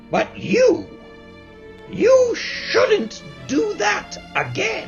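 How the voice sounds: A man's squeaky put-on character voice, extremely high-pitched, with very wide pitch swings, a very slow pace and faint music in the background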